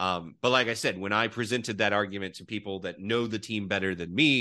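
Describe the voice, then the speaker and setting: A man is speaking. The background is quiet. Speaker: college football podcast host.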